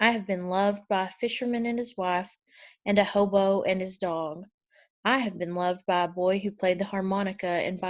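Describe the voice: Someone is plainly reading aloud against a quiet background.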